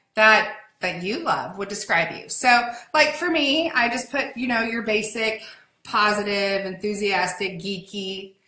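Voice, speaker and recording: A woman speaks fairly slowly in a fairly high, animated voice. Some room echo can be heard. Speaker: online business community host. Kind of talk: live stream chat. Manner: loud.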